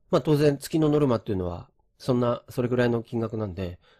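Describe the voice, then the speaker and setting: A man's somewhat breathy, medium-pitched voice at a fairly quick pace, with very wide pitch swings, on a very clean recording with a silent background. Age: 50s. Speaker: real estate agent and former programmer. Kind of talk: lecture. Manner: casual with many fillers.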